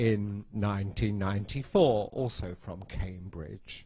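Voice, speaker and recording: In a British accent, a man speaks at a fairly slow pace. His pitch is fairly low. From UK. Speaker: English teacher. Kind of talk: lecture. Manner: slow, clear for learners.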